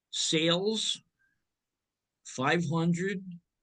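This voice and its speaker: This is a man talking. He has a New Jersey accent. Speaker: accounting instructor. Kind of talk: lecture.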